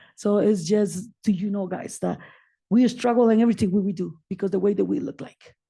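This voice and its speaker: A woman with a non-native accent speaks at a fairly quick pace over a quiet background. Her medium-pitched voice is somewhat breathy, with a dark, mellow tone. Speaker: community advocate and nonprofit founder. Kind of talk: personal testimony at a public meeting. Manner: animated.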